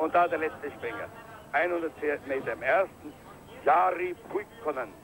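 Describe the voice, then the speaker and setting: A man's high-pitched voice at a very slow pace, over noticeable background noise. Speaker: ski jumping commentator. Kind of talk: live TV ski jumping commentary, archive broadcast. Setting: commentary over a broadcast of a ski jump event, crowd noise. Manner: swells with cheer at big jumps, rattles off names and distances.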